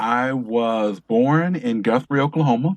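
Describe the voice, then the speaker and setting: A normal speaking voice from a man with an American accent, medium pitch and ordinary pitch variation, in a dry, close sound with no echo. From Detroit, US Midwest. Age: 50s. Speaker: author and filmmaker. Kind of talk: interview conversation.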